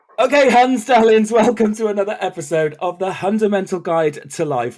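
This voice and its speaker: Amid noticeable background noise, a man with a high pitch talks at a fairly quick pace with very wide pitch swings and hardly any pauses. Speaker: podcast host.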